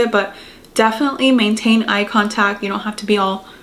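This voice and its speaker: Noticeable background noise sits behind a woman with a fairly high pitch. She talks at a fairly quick pace with fairly even intonation. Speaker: lifestyle YouTuber giving advice. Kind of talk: casual vlog pep talk. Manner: casual, filler-heavy ('like').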